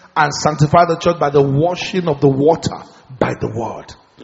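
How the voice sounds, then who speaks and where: An animated man at a moderate pace with ordinary pitch variation, amid noticeable background noise. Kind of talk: sermon. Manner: animated, call-and-response preaching that urges the congregation to shout and pray; fervent, rhythmic, with repeated phrases and teaching asides.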